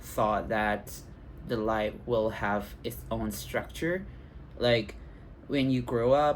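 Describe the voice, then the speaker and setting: Speech comes at a very slow pace in a Thai accent. Long pauses break it up often. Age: 20s. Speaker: vlogger. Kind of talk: personal vlog. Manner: halting, many fillers.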